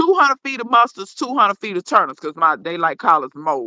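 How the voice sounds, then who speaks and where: A woman's bright, sharp, animated voice with an American accent, very wide pitch swings and a very fast pace, in a dry, close sound with no echo. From Dallas, Texas. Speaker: gardener. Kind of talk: casual chat. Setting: livestream video call.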